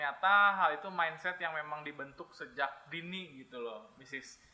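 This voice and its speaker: Loudness swings widely as this man talks at a moderate pace. His pitch is fairly high, with ordinary variation. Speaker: English teacher. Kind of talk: podcast interview. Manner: hesitant fillers.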